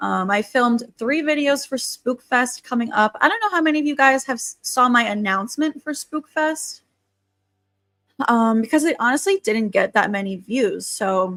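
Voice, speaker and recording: A woman's high voice with ordinary pitch variation, dry and close with no echo, over music in the background. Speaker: YouTube livestreamer. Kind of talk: casual livestream chat. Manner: casual, filler-heavy.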